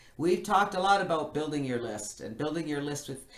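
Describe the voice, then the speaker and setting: Audible room echo surrounds a woman speaking at a very deep, low pitch with ordinary pitch variation. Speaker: webinar presenter. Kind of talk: webinar presentation.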